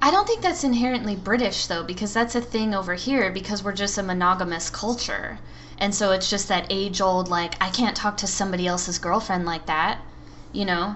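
A woman with an American accent talks in a normal speaking voice at medium pitch, fairly quickly and with fairly even intonation. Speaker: podcast co-host. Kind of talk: casual chat.

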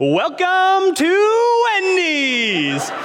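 A man's put-on character voice at an extremely high pitch, with clear background noise. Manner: overly cheerful, game-show host style.

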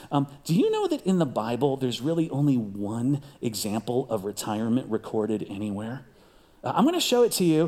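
A plain, everyday voice from a man at medium pitch, fairly quick in pace, with lively intonation. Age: 50s. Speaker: pastor. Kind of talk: sermon.

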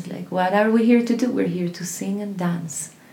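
A woman speaks at a medium pitch with fairly even intonation. Noticeable background noise and audible room echo fill the recording. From Colombia. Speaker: voice teacher and singer. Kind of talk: casual interview chat.

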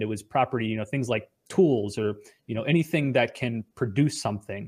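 A man with an American accent and an unremarkable speaking voice, at a fairly quick pace with ordinary pitch variation, on a very clean recording with a silent background. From US suburbs. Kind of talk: casual interview.

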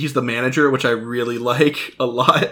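A man's medium-pitched voice has a bright, sharp tone as he speaks at a moderate pace. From United States (moved around). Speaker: podcast co-host, movie reviewer. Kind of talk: casual chat. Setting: studio with mics, drinking beer.

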